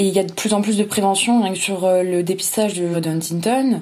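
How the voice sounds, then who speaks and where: Her voice is an ordinary speaking voice, and this woman keeps a medium pitch and fairly even intonation. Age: 20s. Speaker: young family caregiver. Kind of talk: testimony.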